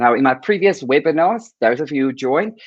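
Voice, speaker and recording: A man with a fairly high pitch speaks with lively intonation in a normal speaking voice. The sound is dry and close with no echo, over a quiet background. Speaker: primary school teacher. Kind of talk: presentation at virtual conference.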